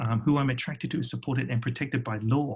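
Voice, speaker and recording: A somewhat breathy man with a British accent talks at a very fast pace and medium pitch, his intonation fairly even. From England. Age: 40s. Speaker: design workshop facilitator. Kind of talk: workshop presentation.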